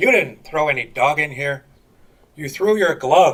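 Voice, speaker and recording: Someone talks at a moderate speed in a put-on character voice. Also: man, fairly high pitch for a man. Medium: stage play.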